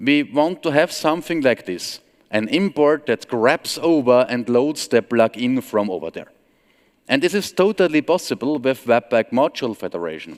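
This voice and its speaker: In an Austrian accent, a man speaks with very wide pitch swings. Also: medium pitch for a man, moderate pace, dry, close sound with no echo. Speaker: software trainer and consultant. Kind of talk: conference talk.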